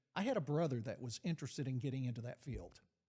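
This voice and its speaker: A man with an Arkansas accent talks at a medium pitch with a dark, mellow tone. His voice is somewhat breathy and has ordinary pitch variation. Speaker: retired FBI agent. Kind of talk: interview conversation. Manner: hesitant, many fillers.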